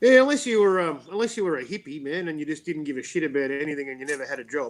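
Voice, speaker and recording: Talking at a very fast pace, a man with an Australian accent uses a fairly high pitch and lively intonation. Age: 50s. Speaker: talk show host. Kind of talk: casual chat.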